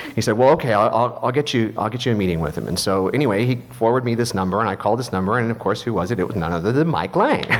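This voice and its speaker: A man with an American accent and a medium pitch talks very fast with hardly any pauses and ordinary pitch variation. Noticeable background noise and audible room echo fill the recording. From US Midwest, Missouri. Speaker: film and TV composer. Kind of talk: panel talk at a luncheon. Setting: jazz club stage with audience.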